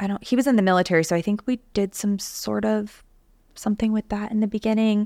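In an unremarkable speaking voice, a woman talks at medium pitch with fairly even intonation, the sound dry and close with no echo. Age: 30s. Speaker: podcast host. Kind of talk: casual chat.

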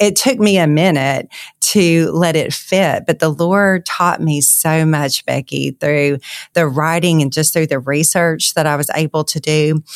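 A woman speaks at a fairly slow pace in a Southern US accent, her pitch very deep and low with ordinary variation. The sound is dry and close with no echo, a very clean recording over a silent background. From Louisiana. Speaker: author. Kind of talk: interview.

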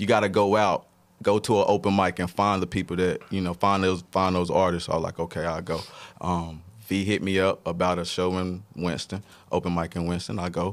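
On a very clean recording with a silent background, a man speaks with a very deep, low pitch in a monotone, flat intonation. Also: fairly quick pace. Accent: North Carolina. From Statesville, North Carolina. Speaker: arts nonprofit founder and artist. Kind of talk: casual interview.

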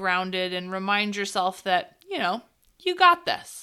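A woman's voice has a playful, upbeat tone and very wide pitch swings. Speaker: meditation host. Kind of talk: guided meditation, casual and irreverent. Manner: relaxed, slow, soothing; playful, profane, upbeat.

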